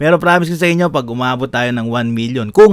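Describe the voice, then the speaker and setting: A man with an unremarkable speaking voice, medium pitch, lively intonation and a fairly quick pace. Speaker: vlogger. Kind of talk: casual vlog monologue.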